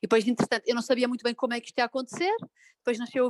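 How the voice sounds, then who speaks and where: Ordinary pitch variation from a woman in a dry, close sound with no echo. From Portugal, Porto. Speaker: psychologist and blogger. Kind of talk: casual interview. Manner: halting, many fillers.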